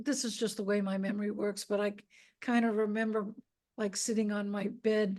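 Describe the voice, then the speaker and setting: A woman speaks with an American accent. Her pitch is fairly high. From Boston, US. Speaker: rock photographer and author. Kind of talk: interview conversation. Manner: hesitant, many fillers.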